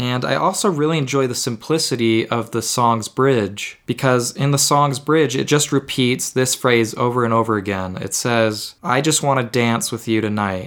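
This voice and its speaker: A plain, everyday voice from a man at medium pitch and moderate pace, with ordinary pitch variation. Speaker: music podcast host. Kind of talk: solo podcast monologue about music. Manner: casual, a bit self-deprecating, improvises.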